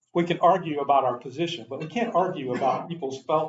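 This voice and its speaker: A man with an American accent talks at a fairly quick pace, his voice fairly high and somewhat breathy. His intonation is lively. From New York City. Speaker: pastor giving a talk on race. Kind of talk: lecture. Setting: church adult forum with audience.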